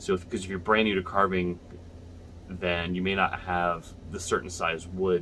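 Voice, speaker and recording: A man talks at a moderate pace with a very deep, low pitch. Light background noise is present. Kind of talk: tutorial. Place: home room. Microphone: phone near.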